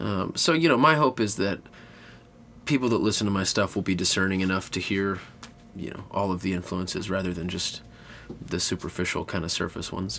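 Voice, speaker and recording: A man with an American accent, his pitch very deep and low, a fairly quick pace, lively intonation, and long, frequent pauses. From Texas. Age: 20s. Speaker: singer-songwriter. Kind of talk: interview. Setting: inside an Airstream trailer.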